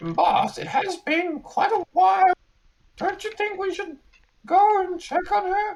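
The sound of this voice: Speaking at a fairly slow pace, someone uses a put-on character voice with an extremely high pitch.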